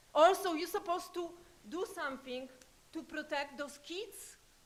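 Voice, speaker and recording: A woman's raised, projected voice with a non-native accent, fairly slow, with lively intonation and audible room echo. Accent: foreign. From Poland. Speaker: public commenter. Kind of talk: public comment at city council. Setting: city council meeting. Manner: urgent.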